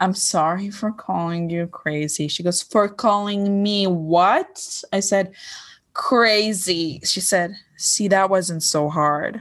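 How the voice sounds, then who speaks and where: A woman speaks in an American accent at a very slow pace. The background is quiet. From Lebanon. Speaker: comedian. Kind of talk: casual chat.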